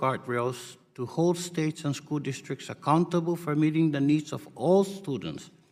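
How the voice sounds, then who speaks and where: A man with a non-native accent speaks at a fairly high pitch and a moderate pace. His pitch varies in an ordinary way, and he hardly pauses. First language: not English. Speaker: congressman questioning a witness. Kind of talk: congressional hearing questioning. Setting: committee hearing room. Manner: formal.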